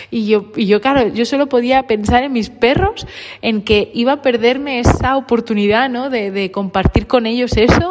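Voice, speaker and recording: The speech comes at a fairly slow pace with ordinary pitch variation. Background noise is noticeable. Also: woman. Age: 30s. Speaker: podcaster on dogs. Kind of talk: personal monologue. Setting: large coworking office. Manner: halting, many repetitions. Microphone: room echo.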